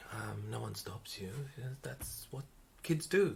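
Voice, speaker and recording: Vocal fry runs through the speech. The delivery is neither hurried nor slow. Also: man. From South Africa, Italian parents. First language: Italian. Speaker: flight service manager and mindfulness practitioner. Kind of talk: casual interview. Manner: hesitant, many fillers.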